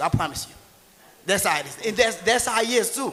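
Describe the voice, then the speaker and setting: This speaker has a Haitian accent and an animated tone, talking at a very fast pace. Noticeable background noise runs underneath. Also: man. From rural Haiti. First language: Haitian Creole. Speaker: tax and real estate entrepreneur. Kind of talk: motivational seminar talk. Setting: stage with audience.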